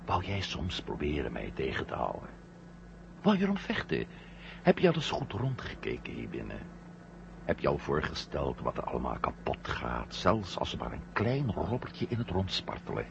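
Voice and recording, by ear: A man puts on a character voice at an extremely low pitch, full of vocal fry, with very wide pitch swings. Clear background noise runs underneath. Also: moderate pace.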